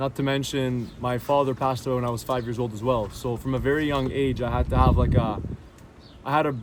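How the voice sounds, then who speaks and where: A man speaks at a very fast pace with fairly even intonation. Noticeable background noise runs underneath. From Syria, then Canada. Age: 20s. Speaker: interviewee sharing conversion story. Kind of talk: personal testimony. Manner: casual, with fillers and repetitions.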